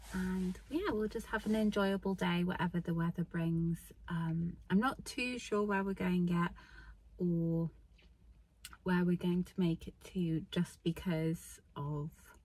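A woman talks at a fairly low pitch, somewhat breathy, with fairly even intonation. Her pace is fairly slow, and the sound is dry with no echo. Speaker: hiking vlogger. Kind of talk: casual vlog chat. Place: car. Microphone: phone near.

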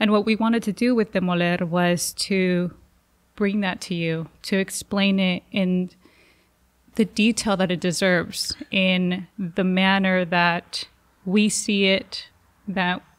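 A woman in a Spanish accent speaks very slowly at medium pitch with monotone, flat intonation, over a quiet background. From Jalisco, Mexico. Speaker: journalist. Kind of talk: interview. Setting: studio. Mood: reflective storytelling. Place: studio. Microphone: studio mic.

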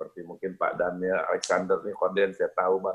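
A man is speaking. The background is quiet. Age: 60s. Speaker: prayer network leader. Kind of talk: exhortation. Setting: video call. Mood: warm, encouraging. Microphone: video call.

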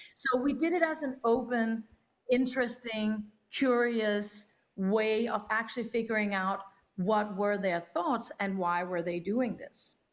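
A woman speaks with a Danish accent. Her pitch is fairly high and her pace fairly slow. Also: ordinary pitch variation. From Denmark. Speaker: documentary film producer; panelist. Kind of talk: panel discussion. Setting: remote video link. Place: home room.

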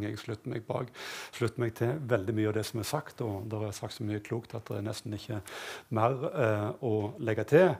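Somewhat breathy, a man speaks at a moderate pace. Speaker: university rector and economics professor. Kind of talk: panel discussion. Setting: stage with audience. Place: stage.

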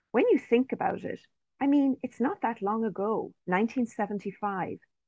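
A woman's fairly high, lively voice, a plain, everyday voice, over a quiet background. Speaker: professor and researcher. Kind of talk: research presentation. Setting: video call. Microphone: video call.

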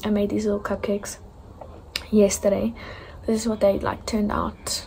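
The pace is fairly quick. Light background noise can be heard. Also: woman. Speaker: vlogger. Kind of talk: casual vlog chat. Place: home room. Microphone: phone near.

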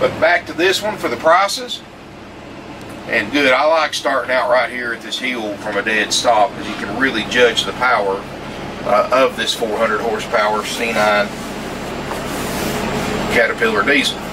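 Over noticeable background noise, a man speaks at a moderate pace, leaving long, frequent pauses. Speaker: RV salesman driving. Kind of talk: casual sales commentary. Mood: upbeat, friendly. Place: car. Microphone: phone near.

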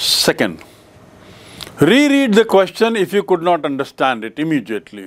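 The speaker is a man with a high voice. His pitch swings very widely as he talks at a moderate pace. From India. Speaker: English teacher. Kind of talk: lecture. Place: studio.

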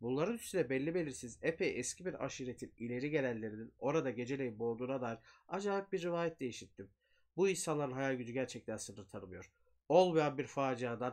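A man's speech moves at a fairly quick pace, with a quiet background around it. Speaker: horror storyteller. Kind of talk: horror story reading. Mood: eerie, suspenseful. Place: home room.

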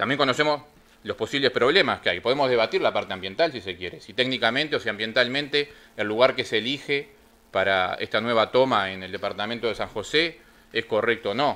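Bright and sharp in tone, a man talks fairly quickly at a medium pitch with ordinary pitch variation. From Uruguay. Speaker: union representative; union representative on a panel. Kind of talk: panel talk. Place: meeting room.

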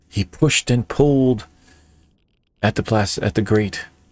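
A man speaks slowly, at a fairly slow pace. His voice is fairly low and somewhat breathy. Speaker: storyteller and video creator. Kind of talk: bedtime-style storytelling, scripted fairy-tale narration. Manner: storyteller's measured, expressive narration with whimsical emphasis.

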